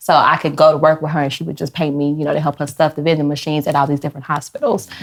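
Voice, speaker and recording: Speaking very fast, a woman delivers her words in a very deep, low voice with monotone, flat intonation. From Chicago, South Side. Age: 30s. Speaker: fashion entrepreneur. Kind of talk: casual chat.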